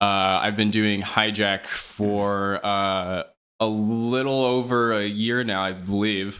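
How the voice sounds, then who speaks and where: With a Midwestern American accent, a man speaks very slowly in a bright, sharp tone at a fairly low pitch with fairly even intonation, and room echo is audible. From Kansas City area (Johnson County, Kansas). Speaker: drum and bass DJ. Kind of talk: casual interview.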